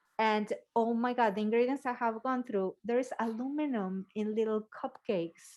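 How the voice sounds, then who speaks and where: In a quiet background, a woman with a non-native accent speaks at a fairly high pitch with ordinary pitch variation. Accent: foreign. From Mexico City. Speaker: podcast host, health coach. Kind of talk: casual chat.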